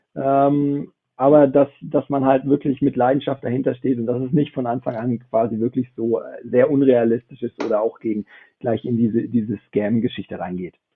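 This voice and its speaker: A man with an unremarkable speaking voice speaks at a moderate pace and medium pitch, his intonation fairly even. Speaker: esports business founder. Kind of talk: panel discussion. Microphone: phone mic, quality could be better.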